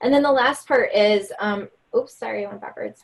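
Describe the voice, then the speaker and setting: Speaking fairly quickly, the woman has an American accent. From New York. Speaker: leadership speaker. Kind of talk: webinar presentation. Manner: fast.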